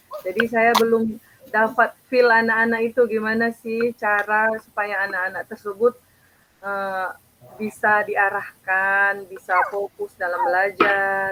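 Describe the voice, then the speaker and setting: Her tone is bright and sharp, her pitch fairly high. The woman speaks fairly slowly in a monotone, flat intonation. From Indonesia, outside Aceh. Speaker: primary school teacher. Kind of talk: coaching conversation. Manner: hesitant, many fillers; casual.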